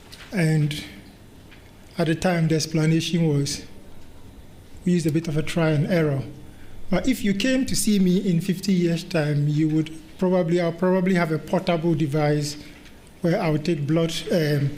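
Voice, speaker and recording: With a Ghanaian accent, a man talks at a high pitch and a moderate pace, leaving long, frequent pauses, his loudness very even and the room echo audible. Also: ordinary pitch variation. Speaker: medical director and research lead, conference chair. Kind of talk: conference talk.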